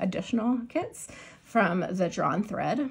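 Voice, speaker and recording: Vocal fry and lively intonation from a woman with an American accent. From US Pacific Northwest, Seattle. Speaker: crafting vlogger and teacher. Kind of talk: casual chat. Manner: fast; filler-heavy, halting.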